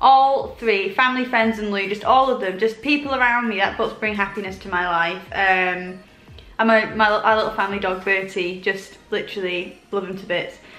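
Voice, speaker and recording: With music in the background and audible room echo, a woman talks at a moderate pace in a relaxed tone, medium in pitch with ordinary pitch variation. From northern England, village near York. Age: 20s. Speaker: lifestyle YouTuber. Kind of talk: casual Q&A chat. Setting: sitting at home, comfy. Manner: relaxed, chatty.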